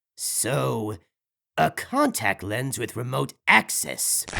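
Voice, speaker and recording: Putting on a raspy character voice, a man speaks at a very slow pace and medium pitch with a playful tone and very wide pitch swings. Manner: teasing, playful.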